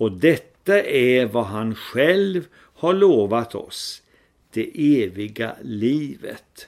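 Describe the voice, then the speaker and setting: A man speaks at a medium pitch and a very slow pace, his voice making very wide pitch swings. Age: old. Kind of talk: devotional talk.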